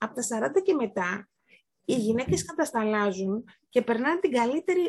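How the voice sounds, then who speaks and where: Her pitch high, a woman talks with very wide swings in pitch. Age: 40s. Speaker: podcast guest. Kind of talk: casual chat. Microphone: may not have very good sound.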